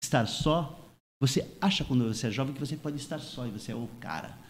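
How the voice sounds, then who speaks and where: Pitch shifts in an ordinary way here. There is a somewhat breathy quality to the voice. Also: man. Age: 60s. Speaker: surfer and surf instructor. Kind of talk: panel discussion.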